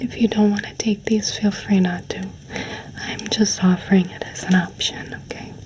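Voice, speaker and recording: Someone whispers at a moderate pace through noticeable background noise. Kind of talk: ASMR roleplay. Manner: warm, cozy.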